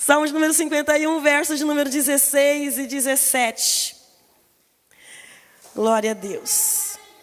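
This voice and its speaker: Speaking at a high pitch with lively intonation, a woman goes at a fairly slow pace with long, frequent pauses, and the room echo is audible. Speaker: pastor. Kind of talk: sermon. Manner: soft-spoken at first, getting louder.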